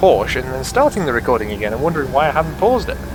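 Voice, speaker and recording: A man with an English accent, music in the background. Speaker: sim racing gamer. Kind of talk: gameplay commentary. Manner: rambling casual.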